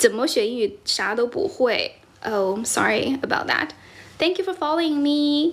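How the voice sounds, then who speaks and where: A woman's high voice with very wide pitch swings and big swings in loudness. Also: moderate pace. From China. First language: Mandarin Chinese. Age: 30s. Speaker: English teacher and content creator. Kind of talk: livestream chat. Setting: livestream. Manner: code-switching between English and Chinese.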